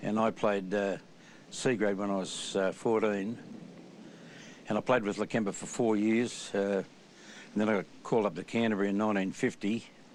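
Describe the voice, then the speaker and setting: With an Australian accent, a man speaks in a fairly low pitch and a flat, monotone delivery. Long pauses come often. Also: moderate pace. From Australia, New South Wales. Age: 80s+. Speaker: former rugby league player. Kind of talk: interview reminiscence.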